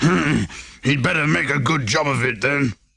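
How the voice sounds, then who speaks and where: A man puts on a gruff, growling character voice that is raspy and rumbling. His pitch is medium and his pace moderate. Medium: read story. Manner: gruff, grumbling, clipped.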